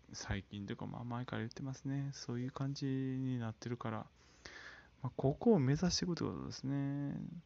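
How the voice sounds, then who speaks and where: Here a man uses a plain, everyday voice at medium pitch with ordinary pitch variation. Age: 30s. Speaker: solo podcaster. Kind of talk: casual solo monologue. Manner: casual, filler-heavy.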